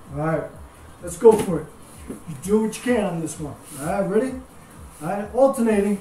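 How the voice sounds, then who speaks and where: Over light background noise and audible room echo, a man talks fairly quickly but with long, frequent pauses. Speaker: fitness instructor. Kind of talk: live-cued bodyweight and dumbbell workout class instruction, counting reps. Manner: upbeat, steady motivating tone, doubling each phrase. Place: home room. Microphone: camera far.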